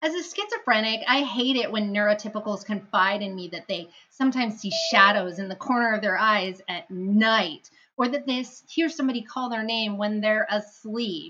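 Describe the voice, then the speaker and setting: A woman with a plain, everyday voice, fairly high pitch and ordinary pitch variation. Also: moderate pace. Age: 30s. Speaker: comedian and streamer. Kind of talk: stand-up; casual stream intro.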